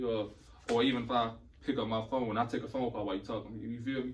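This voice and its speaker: In a room with audible echo, a man speaks at a very fast pace with monotone, flat intonation. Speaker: podcast guest. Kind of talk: casual chat.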